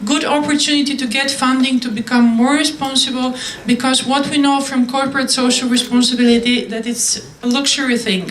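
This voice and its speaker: A woman with a high voice speaks at a moderate pace in a monotone, flat intonation. The room echo is audible, and there is noticeable background noise. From Bulgaria. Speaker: conference speaker. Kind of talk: answering audience questions after a talk. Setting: conference hall with audience.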